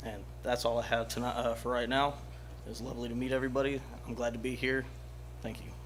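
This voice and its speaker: A man with an American accent at a very fast pace, broken by long, frequent pauses, in audible room echo. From US South. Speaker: retired military, student, resident. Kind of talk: public comment at city council meeting.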